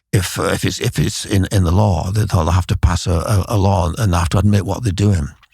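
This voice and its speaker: Man with a very deep, low pitch, somewhat breathy, at a fairly quick pace. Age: 70s. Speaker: immigration writer and commentator. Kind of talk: interview. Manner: halting, many fillers and repetitions.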